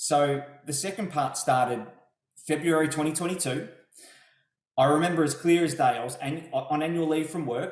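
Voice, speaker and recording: Speaking with an Australian accent, a man at fairly high pitch keeps a moderate pace and ordinary pitch variation amid audible room echo. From Melbourne, Australia. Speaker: property investor. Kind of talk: interview testimony. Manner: hesitant, repeats words.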